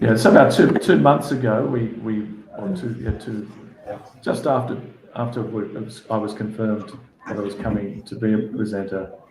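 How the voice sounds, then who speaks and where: Audible room echo surrounds a man with an Australian accent who speaks at a moderate pace in a fairly low voice with ordinary pitch variation. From Australia, Sydney northern beaches. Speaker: sports federation executive. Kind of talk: interview. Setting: video call. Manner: halting, many repeated words.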